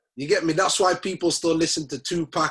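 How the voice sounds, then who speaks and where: This man speaks with a Leeds accent. His pitch is fairly high. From northern England, Leeds. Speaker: rapper. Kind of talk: interview. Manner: casual, slangy.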